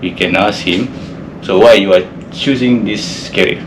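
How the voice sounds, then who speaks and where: A man's fairly slow speech with ordinary pitch variation, audible room echo and noticeable background noise. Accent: Malaysian. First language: Malay. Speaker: seafarer, ship engineer. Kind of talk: casual podcast interview. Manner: halting.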